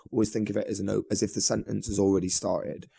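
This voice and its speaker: A man's fairly low voice with a northern English accent, a dark, mellow tone and vocal fry, at a very fast pace with fairly even intonation. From northern England, Manchester. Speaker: singer and guitarist in a band. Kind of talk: podcast interview. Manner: casual, many fillers.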